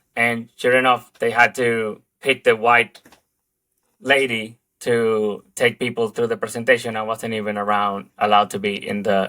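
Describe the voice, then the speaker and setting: With a Spanish accent, a man speaks at a moderate pace in a medium pitch and a bright, sharp tone on a very clean recording with a silent background. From Dominican Republic. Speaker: advertising creative director. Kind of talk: interview conversation. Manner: halting, many fillers.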